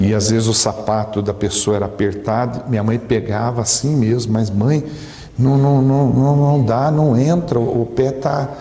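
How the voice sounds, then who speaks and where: A man talks at a fairly slow pace with a medium pitch, ordinary pitch variation and very even loudness. Audible room echo and noticeable background noise surround his voice. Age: 60s. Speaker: preacher. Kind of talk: sermon. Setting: church.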